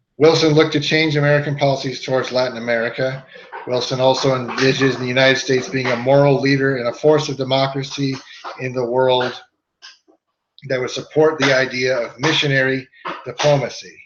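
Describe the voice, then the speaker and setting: Room echo is audible as a man speaks at a medium pitch in a monotone, flat intonation. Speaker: history teacher. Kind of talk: lecture.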